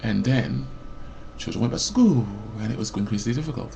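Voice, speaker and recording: A loud male voice with vocal fry at a moderate pace. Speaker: vlogger. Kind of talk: personal rant. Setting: webcam recording. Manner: rambling with false starts.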